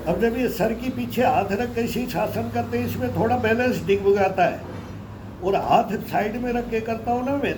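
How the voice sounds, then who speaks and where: A high-pitched man amid audible room echo and noticeable background noise. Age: 60s. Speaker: yoga practitioner. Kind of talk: casual chat.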